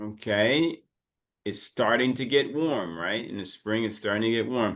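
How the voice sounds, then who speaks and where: Using an ordinary speaking voice, a man talks at a fairly slow pace with ordinary pitch variation. The background is quiet. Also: medium pitch for a man. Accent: American. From United States. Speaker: English teacher. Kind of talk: online class lesson. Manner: casual, conversational.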